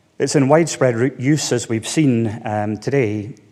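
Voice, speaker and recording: A man with a Scottish accent at a moderate pace, medium in pitch, with ordinary pitch variation. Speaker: veterinarian. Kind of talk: conference talk. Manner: hesitant, many fillers.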